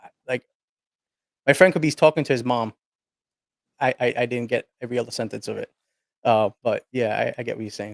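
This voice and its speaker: Long, frequent pauses from a man at a medium pitch, with ordinary pitch variation. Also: big swings in loudness. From United States, child of Italian immigrants. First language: Sicilian. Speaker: content creator and podcaster. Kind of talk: casual interview chat.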